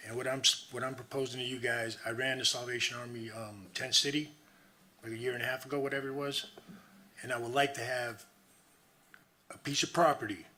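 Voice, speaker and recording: With audible room echo, a man speaks at a fairly quick pace and medium pitch with fairly even intonation. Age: 60s. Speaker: homeless resident giving public comment. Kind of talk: public comment at council meeting. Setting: city council meeting. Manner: emphatic, impassioned.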